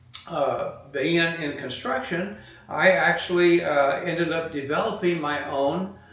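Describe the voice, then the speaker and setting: With noticeable background noise and audible room echo, a man with a high pitch speaks in an American accent at a fairly slow pace, his intonation fairly even. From California. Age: 70s. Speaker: retired business owner. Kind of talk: motivational talk. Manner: halting, many fillers.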